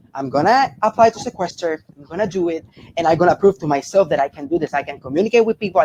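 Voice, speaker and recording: Talking at a very fast pace, a man with a Spanish accent uses a high pitch, and the sound is dry and close with no echo. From Puerto Rico. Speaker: reality game contestant. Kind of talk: interview.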